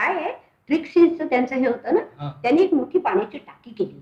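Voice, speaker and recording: A woman's high-pitched voice. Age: 70s. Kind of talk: interview answer.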